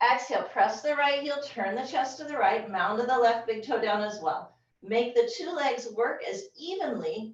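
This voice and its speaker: With audible room echo, a woman speaks at a moderate pace in a high pitch and with lively intonation. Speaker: yoga teacher. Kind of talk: yoga class instruction. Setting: video call. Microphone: low quality video call recording.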